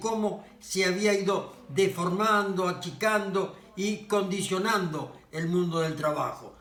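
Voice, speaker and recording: The delivery is very slow, with monotone, flat intonation. Noticeable background noise and audible room echo are present. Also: man. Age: 80s+. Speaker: author and social activist. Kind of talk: casual monologue. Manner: halting.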